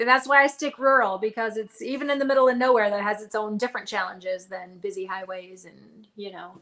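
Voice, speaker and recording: With a bright, sharp tone and a fairly high pitch, a woman speaks at a fairly quick pace with hardly any pauses, ordinary pitch variation and big swings in loudness. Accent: American. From Nevada, near Reno. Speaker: author, former radio DJ. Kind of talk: casual interview chat. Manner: upbeat, laughs often.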